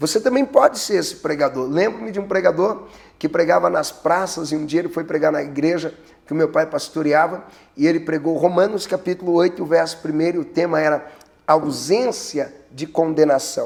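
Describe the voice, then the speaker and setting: Speaking at a moderate pace, a man uses a fairly high pitch and ordinary pitch variation. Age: 30s. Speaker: pastor. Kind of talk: preaching tutorial. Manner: animated.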